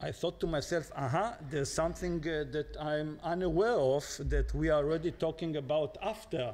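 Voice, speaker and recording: A man talks at a high pitch. His pitch variation is ordinary. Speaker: former diplomat. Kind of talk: lecture. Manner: halting, many filler sounds.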